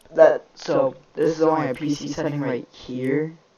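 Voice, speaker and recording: A man speaks in a fairly high pitch with monotone, flat intonation. His fairly slow delivery sits over noticeable background noise. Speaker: gaming YouTuber. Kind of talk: tutorial. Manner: casual, hesitant with fillers.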